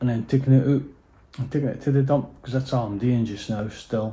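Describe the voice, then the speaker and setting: In a North East Scottish accent, a man speaks with a dark, mellow, somewhat breathy tone and fairly even intonation. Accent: Doric Scots, normally broad. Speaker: DIY house renovator, vlogger. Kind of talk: casual vlog chat. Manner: hesitant, many fillers.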